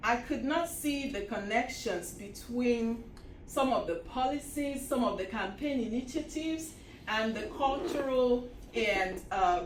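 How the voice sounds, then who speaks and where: Amid noticeable background noise and audible room echo, a woman with a high pitch speaks fairly slowly with lively intonation. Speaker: historian. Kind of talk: lecture.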